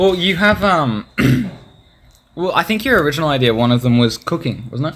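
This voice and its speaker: On a very clean recording with a silent background, a man with an Australian accent and a fairly high pitch talks at a fairly quick pace, with very wide pitch swings and long, frequent pauses. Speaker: podcast host and video editor. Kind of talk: casual chat.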